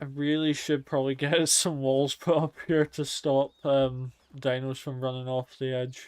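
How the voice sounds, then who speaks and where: In a very clean recording with a silent background, a man speaks at a fairly high pitch with monotone, flat intonation. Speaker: gaming streamer. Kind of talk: let's play commentary. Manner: slurred, sounds drunk. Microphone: mic software issues.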